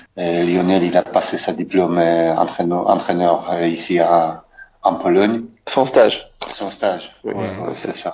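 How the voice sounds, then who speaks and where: In a Polish accent, a man with a very deep, low voice talks at a very slow pace with fairly even intonation. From Poland. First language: Polish (speaking French). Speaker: former footballer. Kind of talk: interview. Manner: halting.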